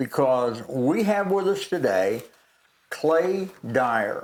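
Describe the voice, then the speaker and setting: A man with an Alabama accent speaks with lively intonation. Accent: Southern US (Alabama). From US South, Alabama. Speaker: pastor, former professional wrestler, co-host. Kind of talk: talk show hosting.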